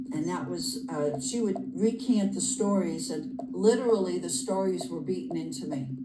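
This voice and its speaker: A woman at a moderate pace with hardly any pauses, plus audible room echo and noticeable background noise. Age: 60s. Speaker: author. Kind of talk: interview. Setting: podcast interview. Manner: halting.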